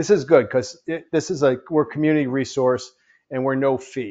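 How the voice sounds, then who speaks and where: Medium-pitched male speech, its pitch moving in an ordinary way. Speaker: small business advisor. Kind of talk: workshop presentation. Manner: fast.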